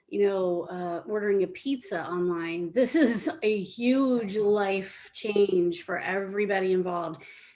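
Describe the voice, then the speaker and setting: Noticeable background noise sits under a woman talking at a fairly slow pace. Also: medium pitch for a woman, ordinary pitch variation. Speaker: senior living marketer. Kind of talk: casual interview.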